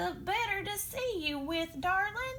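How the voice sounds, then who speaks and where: Against clear background noise, a woman speaks in a squeaky, put-on character voice. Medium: read story. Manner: sly, wheedling.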